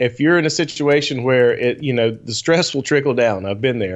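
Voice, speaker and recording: This man has an ordinary speaking voice, pitched in the medium range with ordinary pitch variation. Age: 40s. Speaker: guitarist and business owner. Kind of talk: casual chat. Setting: live stream with chat.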